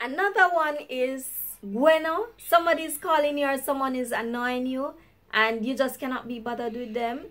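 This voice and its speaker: Speaking with a Jamaican accent, a woman uses a high pitch and lively intonation in an upbeat tone at a moderate pace. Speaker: YouTuber. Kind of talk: casual talk to camera; language lesson.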